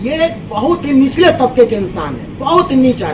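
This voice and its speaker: Over noticeable background noise and audible room echo, a man speaks at an extremely high pitch with lively intonation. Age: 60s. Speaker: complainant in police case. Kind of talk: press conference statement. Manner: animated.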